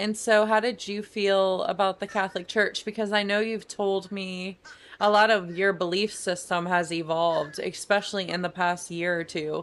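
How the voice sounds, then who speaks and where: Using a plain, everyday voice, a woman speaks at a moderate pace with a medium pitch and fairly even intonation. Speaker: podcast host. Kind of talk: podcast interview questions.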